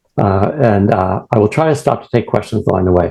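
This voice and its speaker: A man's somewhat breathy, dark and mellow voice with a Boston accent and ordinary pitch variation. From New England, US. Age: old. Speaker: retired professor and prostate cancer patient. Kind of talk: presentation. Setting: video call. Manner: fast.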